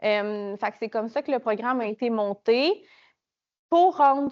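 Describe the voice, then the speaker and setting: With a Quebec accent, a woman talks at a fairly slow pace. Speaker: project officer presenting a program. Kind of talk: conference presentation. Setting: conference room with small audience. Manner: hesitant, many fillers.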